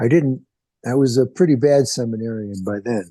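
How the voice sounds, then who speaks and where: With a dark, mellow tone, a man speaks at a medium pitch and a fairly slow pace, with ordinary pitch variation. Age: 70s. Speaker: sangha member sharing in discussion. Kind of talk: casual chat. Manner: halting.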